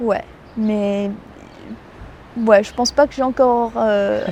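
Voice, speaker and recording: Against a quiet background, a woman with a fairly high pitch and fairly even intonation speaks with big swings in loudness and long, frequent pauses. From New Zealand. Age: young. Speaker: student. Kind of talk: interview answer.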